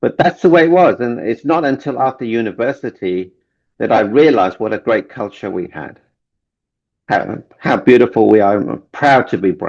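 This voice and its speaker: A man's medium-pitched voice with an English accent and lively intonation. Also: moderate pace. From London, England (Indian family, born in Kenya). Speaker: relationship coach and author. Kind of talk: interview. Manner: halting, repeats words.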